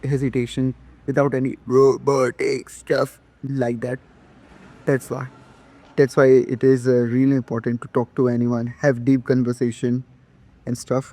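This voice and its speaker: A man with an Indian accent speaks at a moderate pace in monotone, flat intonation. His tone is dark and mellow. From India, Madhya Pradesh. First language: not English. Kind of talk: casual talk to camera. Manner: hesitant, halting.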